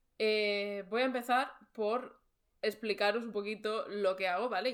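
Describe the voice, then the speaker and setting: A woman's fairly high voice at a moderate pace. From Barcelona, Spain. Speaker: podcast host, freelance creator. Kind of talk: casual chat.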